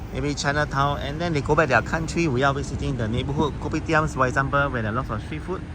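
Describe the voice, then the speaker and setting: Speaking with a Singaporean accent at medium pitch, a man is heard amid noticeable background noise and audible room echo. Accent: Singaporean English (Singlish). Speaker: travel vlogger. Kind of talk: casual vlog talk to camera.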